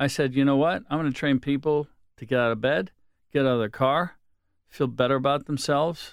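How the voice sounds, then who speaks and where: Spoken at a moderate pace with fairly even intonation, in a Pittsburgh accent. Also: man. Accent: Western Pennsylvania (Pittsburgh). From Pittsburgh area, Pennsylvania. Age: 60s. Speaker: hair salon owner. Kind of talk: casual chat.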